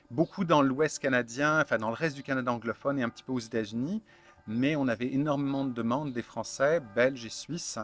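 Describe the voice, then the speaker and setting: A man at medium pitch and a fairly quick pace, with ordinary pitch variation and music playing behind him. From France, Burgundy. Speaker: founder of online fermentation supply shop. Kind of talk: interview. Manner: halting, many fillers.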